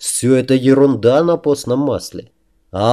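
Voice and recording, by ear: This is reading aloud in a natural voice, with fairly even intonation. The background is quiet.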